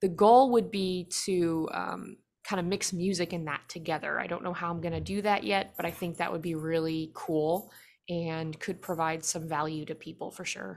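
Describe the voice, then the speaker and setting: A woman speaks in a normal speaking voice with an American accent, fairly low in pitch. Her intonation is fairly even at a moderate pace, in a very clean recording with a silent background. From United States. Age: 20s. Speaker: singer-songwriter. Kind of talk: interview.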